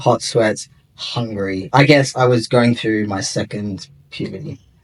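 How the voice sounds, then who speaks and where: With an Australian accent, a man speaks fairly slowly at a medium pitch with ordinary pitch variation. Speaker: interviewee sharing gender transition story. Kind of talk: interview.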